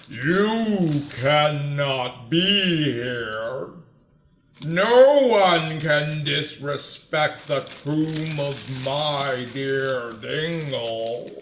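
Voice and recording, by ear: Putting on a booming character voice, a man speaks very slowly at a fairly high pitch with ordinary pitch variation.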